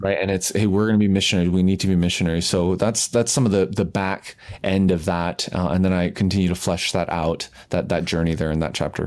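Speaking at a very fast pace with hardly any pauses, a man with a Canadian accent uses a very deep, low pitch. His loudness stays very even. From Canada. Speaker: pastor and author. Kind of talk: interview. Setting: call. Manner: animated.

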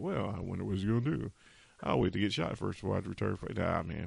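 A man's very rapid delivery with a creaky vocal fry. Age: 40s. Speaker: podcast host, military veteran. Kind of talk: solo podcast monologue. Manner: casual with many filler words.

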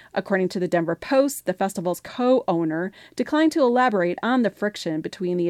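Against a quiet background with a dry, close sound and no echo, a woman with an unremarkable speaking voice talks at a fairly quick pace, with lively intonation and hardly any pauses. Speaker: radio news reader. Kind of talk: news reading. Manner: formal, steady.

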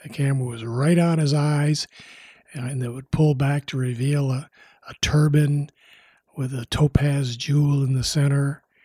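This man's voice sits fairly high, with a dark, mellow, somewhat breathy tone. He talks at a fairly slow pace in a monotone, flat delivery. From US Midwest. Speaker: documentary director and former TV news producer. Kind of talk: interview. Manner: halting, many fillers.

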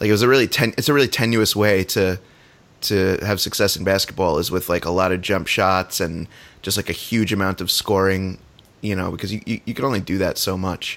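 Speaking at a fairly quick pace, a man uses a fairly low voice with fairly even intonation. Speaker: sports podcast co-host. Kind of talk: casual chat. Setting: at home on couch, podcast microphone.

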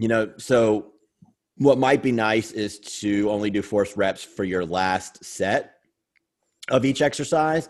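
A man's normal speaking voice, fairly low in pitch, ordinary pitch variation, fairly slow pace. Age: 40s. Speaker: bodybuilder and coach. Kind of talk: casual chat.

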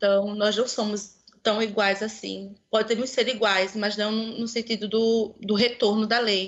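This woman's voice sits fairly high in pitch. She delivers her words in a monotone, flat intonation. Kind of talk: casual chat.

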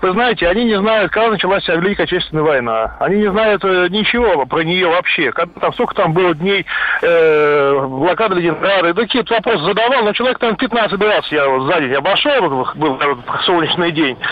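Over noticeable background noise, a man with a high pitch speaks at a very even loudness. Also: lively intonation. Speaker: caller. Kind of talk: radio call-in opinion. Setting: phone call.

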